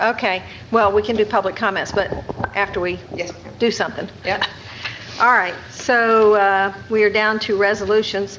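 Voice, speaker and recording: A woman's flat, monotone voice at a moderate pace, with noticeable background noise. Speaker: presiding mayor. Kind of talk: meeting chairing. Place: meeting room. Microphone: podium.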